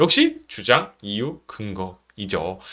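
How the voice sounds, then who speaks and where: Confident in tone, a man speaks with a bright, sharp sound. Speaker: middle school history teacher. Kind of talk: online class instructions. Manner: confident, loud and clear.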